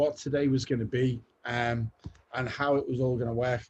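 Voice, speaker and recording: Speaking fairly slowly with a Liverpool accent, a man keeps his intonation fairly even. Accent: Liverpool (Scouse). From Liverpool, England. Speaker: creative director. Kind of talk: guest talk. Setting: video call from home.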